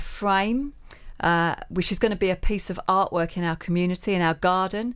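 A woman's medium-pitched voice in a Cockney accent, on a very clean recording with a silent background. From East London. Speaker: charity trustee and community organizer. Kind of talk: interview. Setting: studio.

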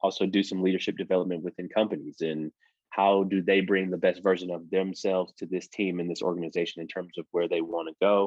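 A man with a very deep, low voice and an American accent talks at a very fast pace in a flat monotone. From Detroit, Michigan. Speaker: former pro football player and coach. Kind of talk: podcast interview.

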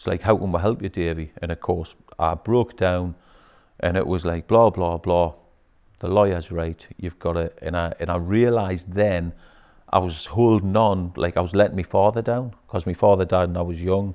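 A man's very deep, low voice with a dark, mellow tone and a Geordie accent, fairly even intonation, a moderate pace, and a quiet background. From northeast England, Newcastle. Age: 50s. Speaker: businessman. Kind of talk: casual chat. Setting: studio.

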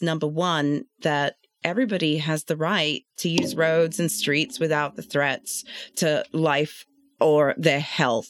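This woman speaks with a London accent. Her pitch is very deep and low. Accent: British (London). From London, England. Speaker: traffic and safety engineer. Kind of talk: casual professional discussion.

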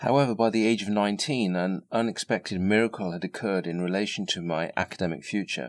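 In a very clean recording with a silent background, a man with an English accent talks at a fairly quick pace with hardly any pauses. His voice is fairly low, with ordinary pitch variation. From England. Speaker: podcast host. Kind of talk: scripted narration. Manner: formal.

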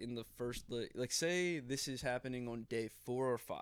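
The intonation here is fairly even, delivered at a moderate pace. It is an unremarkable speaking voice. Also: man. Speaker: podcast co-host. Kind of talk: casual chat.

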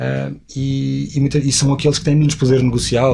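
A somewhat breathy man in a European Portuguese accent. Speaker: cryptocurrency project ambassador. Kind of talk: interview. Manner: halting.

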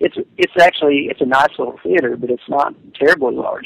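A man talks in a Tennessee accent over noticeable background noise. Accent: Southern US (Tennessee). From Middle Tennessee (Jamestown). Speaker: pastor and theology PhD student. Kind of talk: casual chat. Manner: halting.

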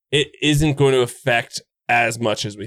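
At a fairly slow pace, a man with an unremarkable speaking voice talks at medium pitch on a very clean recording with a silent background. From Canada. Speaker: video game streamer and guide creator. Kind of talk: casual chat.

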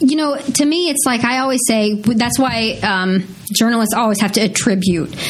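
A woman speaks at a moderate pace in a fairly high voice, with ordinary pitch variation and very even loudness. Noticeable background noise and audible room echo fill the recording. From Missouri, US Midwest. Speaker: TV news anchor. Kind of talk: casual interview.

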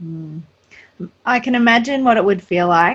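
Her voice pitched fairly high, a woman talks in an Australian accent. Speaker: podcast host. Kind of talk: interview.

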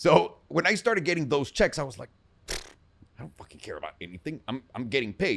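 A man's very fast, fairly high-pitched voice with vocal fry, very wide pitch swings, and big swings in loudness. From Mexico City. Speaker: entrepreneur, real estate investor and producer. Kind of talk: casual interview chat. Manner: casual, profane.

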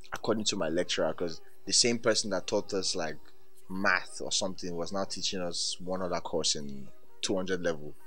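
A man talks at a fairly quick pace in a very deep, low voice. Music plays in the background. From Nigeria. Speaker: digital creator. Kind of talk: storytelling, acting out a scene. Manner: animated, vivid scene-painting; playful, fast-paced with laughs.

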